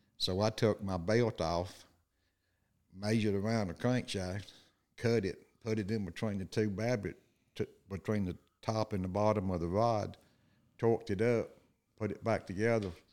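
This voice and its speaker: A man with an Alabama accent, fairly low pitch, moderate pace, fairly even intonation and long, frequent pauses, on a very clean recording with a silent background. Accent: rural Southern US (Alabama). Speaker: guest, co-host's father. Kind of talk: casual storytelling.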